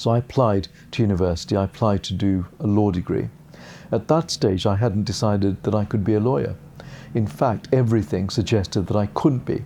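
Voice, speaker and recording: In a British accent, a man speaks at a fairly quick pace with a fairly low pitch, a dark, mellow tone and ordinary pitch variation. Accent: received pronunciation, learnt from TV. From England. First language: Gujarati. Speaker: barrister and part-time judge. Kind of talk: interview monologue.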